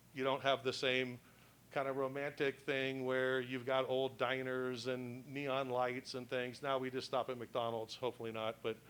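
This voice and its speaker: A man with an American accent speaks at a moderate pace, his medium-pitched voice monotone and flat. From US West Coast, San Francisco. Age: 60s. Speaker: history speaker. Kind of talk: public talk. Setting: presentation to live audience. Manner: repeats and restarts words.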